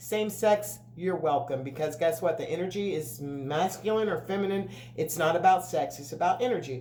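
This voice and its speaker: With hardly any pauses, a woman speaks in a fairly low voice and lively intonation, amid audible room echo and noticeable background noise. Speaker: tarot reader. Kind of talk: tarot reading monologue. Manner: fast; casual, filler-heavy.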